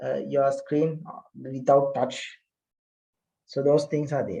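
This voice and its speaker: A man speaks with an Indian accent. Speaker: lecturer. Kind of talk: lecture. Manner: hesitant with many fillers.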